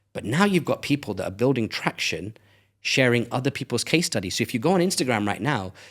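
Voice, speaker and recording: Very wide pitch swings mark a man's very fast speech in a British accent at medium pitch, on a very clean recording with a silent background. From England. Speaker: brand strategist. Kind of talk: casual interview chat. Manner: animated.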